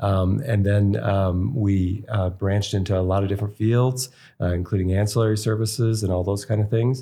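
A man's somewhat breathy, dark and mellow voice, fairly low in pitch, with an American accent, fairly even intonation, very even loudness and a moderate pace. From US East Coast. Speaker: physician and podcast host. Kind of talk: interview.

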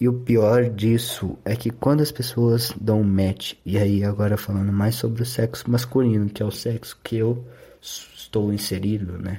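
A man with a fairly low pitch and a dark, mellow, somewhat breathy tone speaks at a fairly slow pace with hardly any pauses. His intonation is fairly even, and the recording is very clean with a silent background. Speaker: podcaster. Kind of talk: solo podcast monologue. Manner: sleepy, low-energy delivery.

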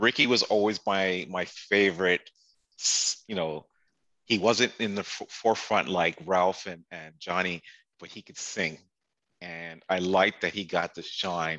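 With a Canadian accent and a very deep, low pitch, a man speaks fairly slowly in a bright, sharp tone, with fairly even intonation, big swings in loudness, long, frequent pauses and a quiet background. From Canada, Toronto. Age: 40s. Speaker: sneaker collector. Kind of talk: casual chat.

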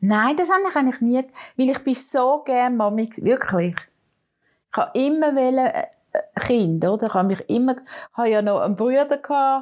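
In a very clean recording with a silent background, a high-pitched woman speaks at a moderate pace with lively intonation, very even loudness, and long, frequent pauses. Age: 70s. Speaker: grandmother, podcast co-host. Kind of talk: casual chat.

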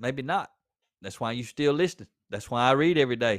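Recorded very cleanly with a silent background, a man speaks with lively intonation in a Southern US accent. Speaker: podcast host and author. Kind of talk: pep talk, blunt and confrontational, aimed straight at a slacking listener. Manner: direct, plainspoken, forceful, with a fired-up, scolding edge; conversational, with repeated words and fillers.

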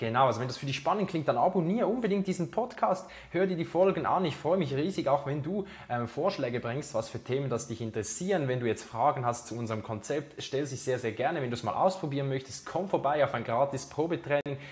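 With lively intonation and a fairly high pitch, a somewhat breathy man talks at a very fast pace. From Switzerland, Zurich. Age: 20s. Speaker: podcast host, fitness trainer. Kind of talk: solo podcast monologue. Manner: casual, with many fillers.

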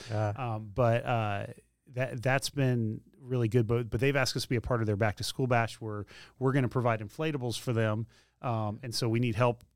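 On a very clean recording with a silent background, a man talks at a fairly quick pace in a medium pitch with fairly even intonation. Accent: Tennessee. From Middle Tennessee (Spring Hill). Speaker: campus pastor. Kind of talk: casual interview. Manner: halting, many repetitions and fillers.

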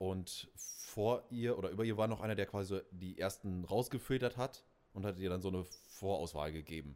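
A man speaks in a normal speaking voice at a moderate pace. His pitch is fairly low, with ordinary variation. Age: 20s. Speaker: podcast co-host, DJ. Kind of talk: casual chat.

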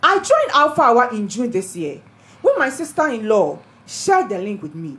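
Somewhat breathy, a woman speaks at a moderate pace, her pitch swinging very widely. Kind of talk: testimony reading. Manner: excited, animated.

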